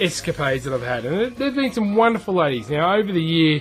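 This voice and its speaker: A man with an Australian accent, lively intonation and a very fast pace, music in the background. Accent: harsh Australian. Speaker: gaming youtuber. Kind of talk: casual vlog storytelling. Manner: chatty, repeats words.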